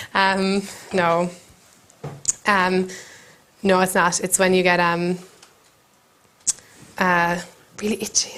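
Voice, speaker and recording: A woman with an Irish accent, monotone and flat, very even in loudness, at a very slow pace with long, frequent pauses. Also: medium pitch for a woman. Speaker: comedian. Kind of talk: comic monologue to camera. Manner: hesitant, rambling.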